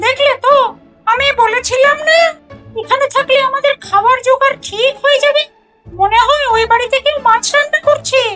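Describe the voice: A put-on character voice moves at a moderate pace over faint music in the background. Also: female-sounding voice, extremely high pitch for a woman.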